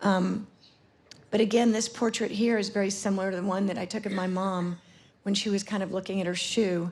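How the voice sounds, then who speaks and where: Fairly quick and fairly even in intonation, a woman's medium-pitched voice shows vocal fry. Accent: American. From US South, Atlanta, Georgia. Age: 60s. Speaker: photographer. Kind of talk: conference talk presenting work. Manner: halting, many fillers.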